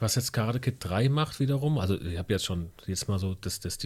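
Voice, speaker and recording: A man speaks with a somewhat breathy voice. The recording is very clean, with a silent background. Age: 30s. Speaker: podcast co-host. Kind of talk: casual chat.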